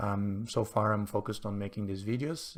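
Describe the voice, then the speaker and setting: A man with a non-native accent and fairly low pitch, on a very clean recording with a silent background. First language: not English. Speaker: chess streamer. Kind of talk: live game commentary. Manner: hesitant, many fillers.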